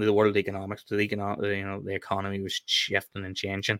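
On a very clean recording with a silent background, a man with a fairly low pitch and a bright, sharp tone speaks at a fairly quick pace. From Ireland. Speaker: Irish nationalist guest. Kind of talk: interview discussion.

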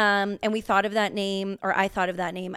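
This woman's voice sits at a medium pitch on a very clean recording with a silent background. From Canada, rural Alberta. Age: 30s. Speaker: podcast co-host. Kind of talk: casual chat.

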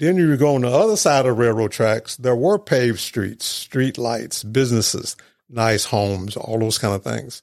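Using an unremarkable speaking voice, a man talks at a moderate pace and medium pitch in an American accent, with ordinary pitch variation. The recording is very clean, with a silent background. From Mississippi (Mendenhall), US South. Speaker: ministry leader. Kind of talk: interview storytelling.

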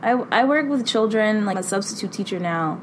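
Over noticeable background noise, a woman with an American accent speaks at medium pitch with lively intonation. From Boston. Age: 20s. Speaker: consultant and substitute teacher. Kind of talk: personal reflection monologue.

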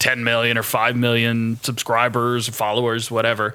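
Bright and sharp in tone, a man speaks with an American accent. He keeps a moderate pace. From United States. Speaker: YouTuber and DJ. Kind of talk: casual chat. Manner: loud.

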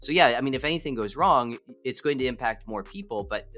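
This man talks at a very fast pace while music plays in the background. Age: 40s. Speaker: entrepreneur and real estate investor. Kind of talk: interview. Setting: video call.

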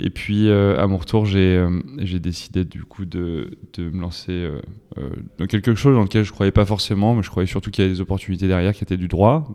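The man's pitch sits fairly low, with ordinary variation. His tone is dark and mellow. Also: fairly quick pace. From western France (Vienne, Loudun). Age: 30s. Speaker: startup CEO and co-founder. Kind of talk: interview conversation. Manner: hesitant, many fillers.

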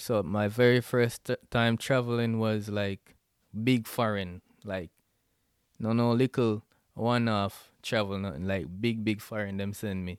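Speaking with a Jamaican accent, a man uses a fairly low pitch and fairly even intonation at a fairly slow pace. The sound is dry and close with no echo. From Jamaica (Westmoreland). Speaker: podcast host. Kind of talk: solo podcast intro, casual chat. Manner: casual, informal.

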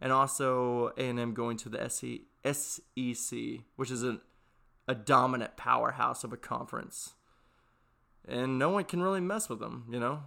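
The recording is very clean with a silent background. A man talks at a moderate pace. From Texas. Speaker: podcast host. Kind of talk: casual solo monologue. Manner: halting, with frequent fillers and restarts.

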